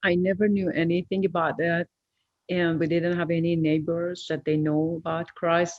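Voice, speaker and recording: At a moderate pace, a woman with a Persian accent talks in a monotone, flat intonation at a fairly low pitch and very even loudness. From Iran. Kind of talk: testimony. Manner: halting, many fillers.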